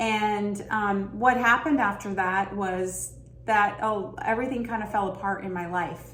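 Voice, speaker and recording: A woman speaks at a medium pitch and a fairly slow pace with fairly even intonation. Noticeable background noise runs underneath. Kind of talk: self-help talk to camera. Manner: reflective, earnest, conversational.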